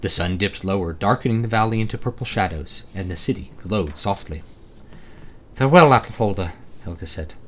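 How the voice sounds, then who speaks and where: This man talks at a fairly quick pace with a somewhat breathy, fairly low voice and ordinary pitch variation. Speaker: author. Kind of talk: audiobook reading.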